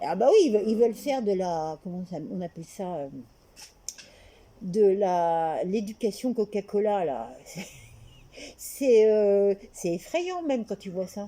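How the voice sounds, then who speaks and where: A woman's medium-pitched voice with a dark, mellow tone and lively intonation, very slow, with long, frequent pauses and big swings in loudness. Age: 60s. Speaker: interviewee. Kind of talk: casual chat. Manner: halting.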